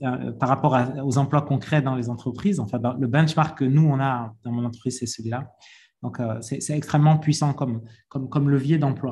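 A man talks at a fairly quick pace, medium in pitch. His voice is somewhat breathy, with ordinary pitch variation. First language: French. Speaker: dairy business leader. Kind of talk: panel discussion. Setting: video call. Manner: repetitive, stumbling.

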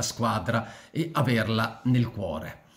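This man speaks at a medium pitch. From born in Switzerland, returned to Italy at 14. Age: 60s. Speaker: political commentator / YouTuber; commentator. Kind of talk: personal monologue to camera; casual vlog commentary. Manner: halting, many fillers and repetitions. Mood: reflective, somber tribute. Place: home room. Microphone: phone near.

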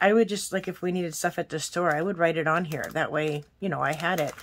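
A woman talks in a plain, everyday voice. Her pitch sits fairly low, with ordinary pitch variation. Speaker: planner haul vlogger. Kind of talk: casual vlog chat. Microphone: phone near.

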